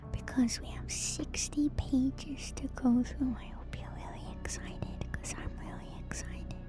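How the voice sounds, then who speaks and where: Soft-spoken and whispering, the voice moves at a fairly slow pace with hardly any pauses and big swings in loudness, with music in the background and audible room echo. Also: woman. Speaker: vtuber streamer. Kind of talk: ASMR lore stream. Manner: soft-spoken, partly whispered.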